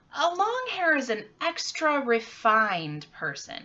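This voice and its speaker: This is a put-on character voice, squeaky in tone. It moves at a fairly slow pace. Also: woman, high pitch for a woman. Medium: read story. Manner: casual, slangy.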